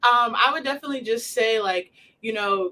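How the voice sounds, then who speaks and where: The tone is bright and sharp, and the voice is loud. The pace is fairly quick. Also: woman. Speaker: college basketball player. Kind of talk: casual interview chat.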